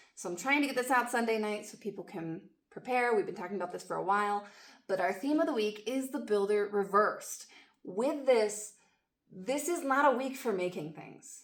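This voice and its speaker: Speaking at a moderate pace, a woman uses a plain, everyday voice at a fairly high pitch. Her intonation is lively and her loudness swings a lot. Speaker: astrology and tarot forecaster. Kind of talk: weekly astrology forecast monologue.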